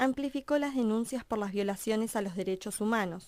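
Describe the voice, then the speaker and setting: Recorded very cleanly over a silent background, a woman speaks at a fairly high pitch in a dark, mellow tone with ordinary pitch variation. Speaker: radio documentary narrator. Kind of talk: documentary narration.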